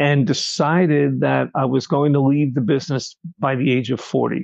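The dry, close sound with no echo carries a man with a New York accent talking at a fairly slow pace. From Long Island, New York. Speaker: restaurant server. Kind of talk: interview.

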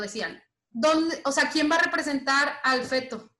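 A woman with a high voice projects loudly in a bright, sharp tone, speaking at a moderate pace with ordinary pitch variation. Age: 20s. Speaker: lawyer and LGBT activist. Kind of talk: interview.

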